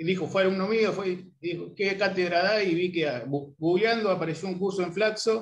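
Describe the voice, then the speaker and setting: Using hardly any pauses, a man with a high pitch for a man speaks at a moderate pace with ordinary pitch variation. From Argentina. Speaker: sociologist. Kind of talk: self-introduction. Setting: video call. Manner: halting. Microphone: video call.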